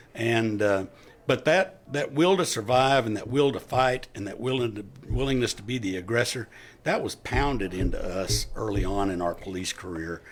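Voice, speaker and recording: An ordinary speaking voice from a man with an American accent, medium pitch, lively intonation and a moderate pace. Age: 60s. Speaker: retired police officer. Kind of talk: interview.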